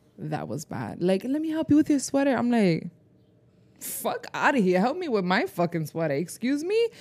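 A woman speaks at a moderate pace in a high pitch. Her animated tone carries very wide pitch swings. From Rhode Island. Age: 20s. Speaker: podcast co-host. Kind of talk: casual chat.

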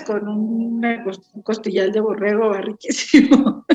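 A woman with a plain, everyday voice speaks at a fairly slow pace and a fairly high pitch. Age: 60s. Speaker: winemaker. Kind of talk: casual interview chat.

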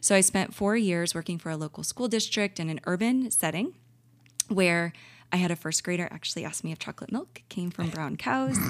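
A woman with a Midwestern American accent talks at a fairly quick pace in a fairly low pitch. The recording is very clean with a silent background, and her pitch varies in an ordinary way. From St. Louis, Missouri, US. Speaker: dietitian. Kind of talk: casual interview. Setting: conference.

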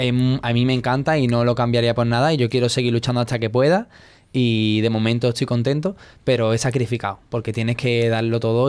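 Talking at a fairly quick pace, a man speaks at a medium pitch. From Andalusia, Spain (Seville). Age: 20s. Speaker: dancer. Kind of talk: interview. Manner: hesitant.

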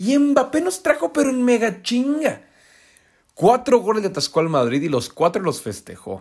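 A man's animated voice at an extremely high pitch, with very wide pitch swings and a moderate pace. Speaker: football pundit. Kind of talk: casual commentary; scripted narration.

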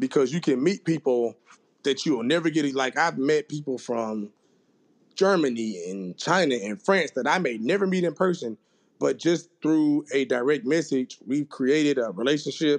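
A man with a Southern US accent talks at a fairly high pitch. His intonation is lively, and the background is quiet. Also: moderate pace. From Mississippi, US South. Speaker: strength and conditioning coach. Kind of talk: casual interview.

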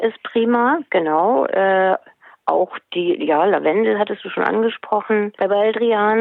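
The woman talks at a very slow pace. Her pitch variation is ordinary. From Hesse, Germany. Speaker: book author and animal naturopath. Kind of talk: interview.

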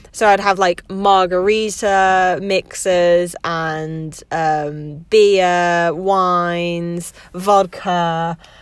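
A woman talks at a very slow pace with hardly any pauses. Her fairly low voice stays monotone and flat. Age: 20s. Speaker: podcast host. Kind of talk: casual monologue. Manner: halting.

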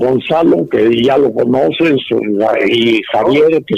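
A man's fairly high voice at a very slow pace, with lively intonation. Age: 80s+. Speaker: bullfighting aficionado and cattle breeder. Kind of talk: casual interview. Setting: phone call.

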